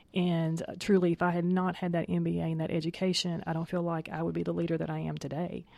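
A woman talks at a very fast pace with hardly any pauses, on a very clean recording with a silent background. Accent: Southern US. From Tennessee, US South. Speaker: HR professional guest. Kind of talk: radio interview.

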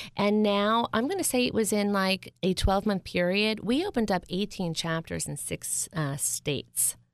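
A woman with an American accent and an ordinary speaking voice talks at medium pitch and a moderate pace, with ordinary pitch variation and hardly any pauses, in a very clean recording with a silent background. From US Northeast, North Jersey (Bergen County). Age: 40s. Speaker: charity founder. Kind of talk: radio interview. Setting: studio.

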